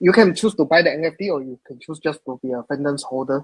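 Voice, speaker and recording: Very fast and fairly high, a man speaks with a slight Singaporean accent in a dry, close sound with no echo. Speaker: crypto project tech leader. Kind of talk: live Q&A session. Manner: halting, many fillers.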